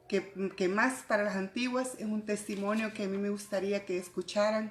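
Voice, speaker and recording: Over noticeable background noise, a woman talks at a fairly slow pace with monotone, flat intonation. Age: 60s. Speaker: church fellowship member. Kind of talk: testimony. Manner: halting.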